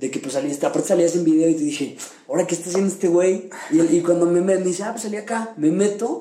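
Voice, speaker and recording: Against noticeable background noise, a man with a Mexican accent talks at a very fast pace in a high pitch. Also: ordinary pitch variation. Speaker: podcast co-host. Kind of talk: casual chat.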